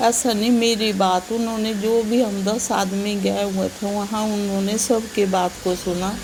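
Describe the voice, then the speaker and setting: The delivery is monotone and flat, with hardly any pauses. Audible room echo surrounds the voice. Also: woman, medium pitch for a woman. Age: 70s. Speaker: flood victim's family member. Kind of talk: interview testimony.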